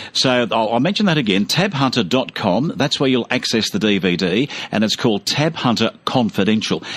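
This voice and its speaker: A man with an Australian accent talks at a fairly quick pace, his loudness very even and his pitch swinging very widely. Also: medium pitch for a man. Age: 60s. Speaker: radio host. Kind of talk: radio interview.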